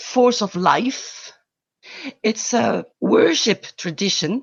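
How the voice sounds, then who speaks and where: With a French accent, a woman at a fairly high pitch speaks with lively intonation. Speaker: environmental volunteer. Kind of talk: interview.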